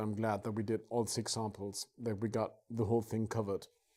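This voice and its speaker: Speaking at a moderate pace, the voice has a dark, mellow tone and a German accent. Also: man. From northern Germany. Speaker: rum producer. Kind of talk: live tasting. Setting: home studio. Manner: animated.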